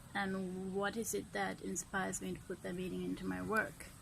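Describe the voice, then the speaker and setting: A woman with vocal fry speaks at a medium pitch and a moderate pace with fairly even intonation, and there is audible room echo. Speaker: artist and video blogger. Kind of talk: casual vlog talk. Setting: outdoors at sunset. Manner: speaking up, projecting more than usual; hesitant, frequent ums.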